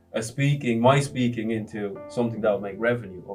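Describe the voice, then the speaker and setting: A man with an Irish accent talks at a fairly quick pace, medium pitch and ordinary pitch variation. Music plays in the background. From Ireland (raised from age 8, born in Congo). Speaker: entrepreneur and motivational speaker. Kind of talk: interview answer.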